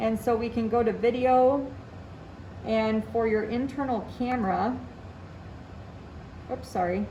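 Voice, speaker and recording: With audible room echo, a woman with a fairly high voice speaks at a very slow pace and with fairly even intonation. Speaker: teacher giving tech training to colleagues. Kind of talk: tutorial. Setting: classroom. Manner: loud.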